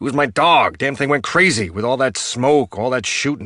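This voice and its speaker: A man puts on a character voice at a medium pitch. His intonation is lively and his pace moderate. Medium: read story. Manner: defensive, colloquial.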